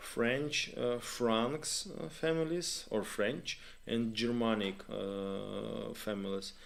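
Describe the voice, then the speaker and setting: A man speaks very slowly in a Ukrainian accent. His pitch is medium, with ordinary pitch variation. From Ukraine. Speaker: live stream host. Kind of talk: live stream chat with viewers. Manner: halting, many fillers.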